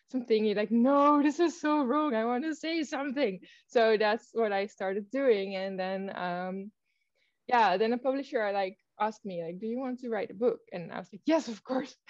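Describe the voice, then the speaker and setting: A woman's fairly high voice with lively intonation and big swings in loudness at a moderate pace. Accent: Dutch. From Netherlands. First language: Dutch. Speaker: author. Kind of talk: casual chat. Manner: halting, many fillers.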